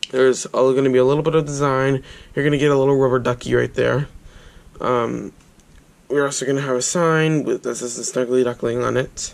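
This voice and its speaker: A man talks at a fairly quick pace. His intonation is monotone and flat. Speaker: toy reviewer. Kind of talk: casual product review. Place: home room. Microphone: phone near.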